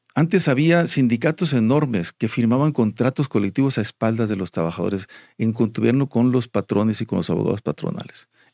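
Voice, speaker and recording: Heard dry and close with no echo on a very clean recording with a silent background, a man speaks with lively intonation and a dark, mellow tone. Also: medium pitch for a man, fairly quick pace, hardly any pauses. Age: 60s. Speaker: union leader. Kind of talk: interview. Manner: halting, many repetitions.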